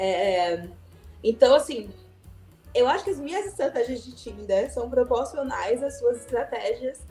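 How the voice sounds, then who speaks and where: A woman's pitch swings very widely as she talks at a moderate pace, with music playing behind her. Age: 30s. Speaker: podcast host. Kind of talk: casual podcast conversation.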